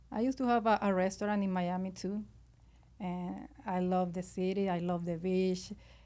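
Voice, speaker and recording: A woman's medium-pitched voice in a Venezuelan accent, dark and mellow in tone, with fairly even intonation at a moderate pace. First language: Spanish. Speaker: restaurant owner. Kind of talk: interview. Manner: halting.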